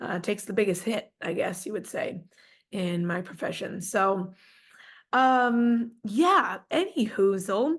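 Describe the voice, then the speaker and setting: A woman at medium pitch talks at a very slow pace. Her voice is somewhat breathy, her intonation lively, and the background quiet. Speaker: podcast host. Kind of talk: solo podcast talk. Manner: casual, filler-heavy.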